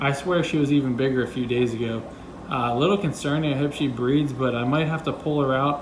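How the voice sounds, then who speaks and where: Delivery is very fast, with fairly even intonation and very even loudness. Audible room echo and noticeable background noise sit behind the voice. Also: man, fairly high pitch for a man. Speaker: fish keeping youtuber. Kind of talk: casual video tour. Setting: home fish room.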